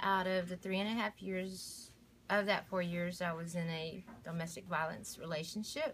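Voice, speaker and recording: A somewhat breathy woman's voice, fairly low and fairly even in intonation, with light background noise. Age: 40s. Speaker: domestic violence survivor. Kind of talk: testimony. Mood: grateful, earnest. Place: home room. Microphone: phone near.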